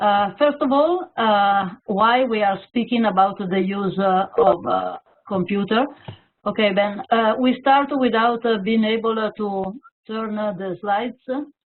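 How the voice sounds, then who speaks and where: A woman with an Italian accent speaks at a fairly slow pace, her fairly high pitch moving with ordinary variation. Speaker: teacher and teacher trainer. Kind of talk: webinar presentation. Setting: online webinar. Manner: halting, many hesitations.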